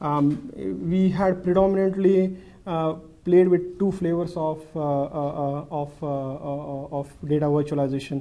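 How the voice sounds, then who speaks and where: Recorded with audible room echo, a man speaks fairly slowly in a fairly high, dark, mellow voice with ordinary pitch variation. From India. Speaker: banking technology manager. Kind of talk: conference presentation. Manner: halting with many fillers.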